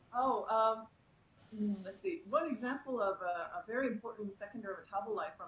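A woman's fairly high voice at a moderate pace, with audible room echo and light background noise. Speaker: plant biologist. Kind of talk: panel interview. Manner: enthusiastic. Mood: enthusiastic, friendly. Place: office. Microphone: video call.

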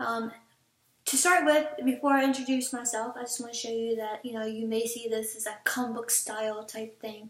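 Heard with audible room echo, a woman speaks at a fairly high pitch and a moderate pace, her intonation fairly even. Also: big swings in loudness. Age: 20s. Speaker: vlogger, call center worker. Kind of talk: casual vlog introduction. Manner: hesitant with many fillers. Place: home room. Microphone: webcam.

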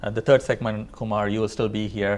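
A man speaks very fast at a fairly low pitch with vocal fry, over light background noise. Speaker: TV talk show host. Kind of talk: TV interview. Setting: TV studio. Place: studio. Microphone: lapel.

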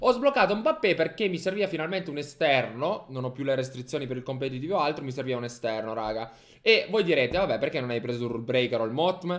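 Over a quiet background, a man talks at a very fast pace with lively intonation and a fairly high pitch. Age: 20s. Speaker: gaming streamer / youtuber; gaming streamer, youtuber. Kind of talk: casual gaming commentary. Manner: animated. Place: home room. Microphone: studio mic.

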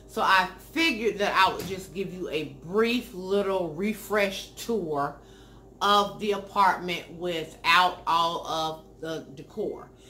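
Light background noise accompanies a woman speaking. Her pace is very slow, with ordinary pitch variation. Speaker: lifestyle vlogger. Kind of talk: casual vlog chat. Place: home room.

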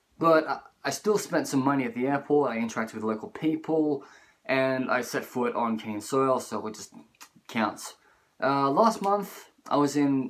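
Moderate pace and lively intonation from a man. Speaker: travel vlogger. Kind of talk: casual vlog chat. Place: home room. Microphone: phone near.

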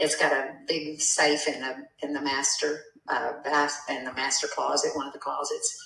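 This woman has an American accent and speaks at a moderate pace. Some room echo can be heard. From US South. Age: 70s. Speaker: property seller. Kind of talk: phone conversation. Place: home room.

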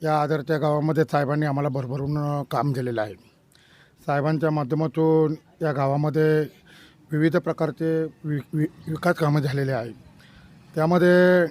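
A man uses an unremarkable speaking voice, pitched fairly high with fairly even intonation. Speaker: village political worker. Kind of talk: street interview.

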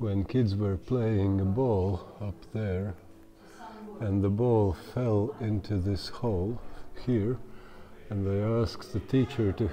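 Light background noise sits behind a man speaking at a very slow pace. His fairly low pitch holds a fairly even intonation. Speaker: cave tour guide. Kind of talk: guided tour explanation. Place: tunnel cave.

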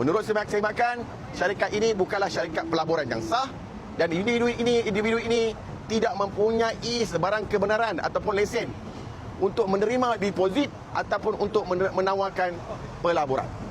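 Over noticeable background noise and audible room echo, a man speaks at a fairly quick pace in a high pitch, with ordinary pitch variation and very even loudness. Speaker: NGO official at press conference. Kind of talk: press conference statement. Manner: formal.

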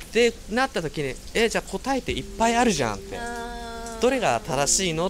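Over noticeable background noise, a man talks at a fairly quick pace in a high voice with very wide pitch swings. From Chiba, Japan. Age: 20s. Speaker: welfare worker and sanshin player. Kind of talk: interview answer, casual talk. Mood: cheerful, smiling. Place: garden. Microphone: handheld.

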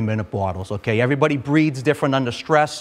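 Talking at a fairly quick pace, a man with a Boston accent uses ordinary pitch variation. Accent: Boston-area. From North Quincy, Massachusetts; Massachusetts. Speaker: fire lieutenant; firefighter instructor. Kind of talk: equipment tutorial. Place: classroom. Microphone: lapel.

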